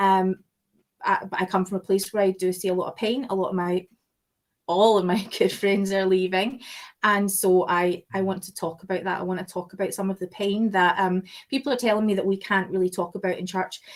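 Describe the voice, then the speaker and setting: A woman's medium-pitched voice with a Scottish accent, at a fairly quick pace and with fairly even intonation. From Scotland. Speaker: podcast host. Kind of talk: casual chat.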